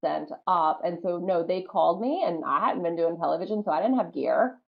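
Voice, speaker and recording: A woman speaks at a medium pitch with a slight Southern US accent. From US South, North Carolina. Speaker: professional wrestler. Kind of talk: interview. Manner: animated.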